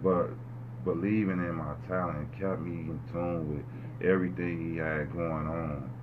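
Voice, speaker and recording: A man with a very deep, low voice speaks with lively intonation amid noticeable background noise and audible room echo. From Chicago. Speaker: rapper. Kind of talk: casual interview.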